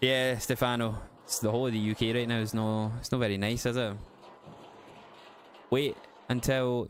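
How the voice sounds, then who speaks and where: A man with a Glasgow accent speaks at medium pitch and a moderate pace. His intonation is monotone and flat, with long, frequent pauses. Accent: west of Scotland (Glasgow area). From Scotland, west of Glasgow. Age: 30s. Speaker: gaming live streamer. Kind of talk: casual live-stream chat.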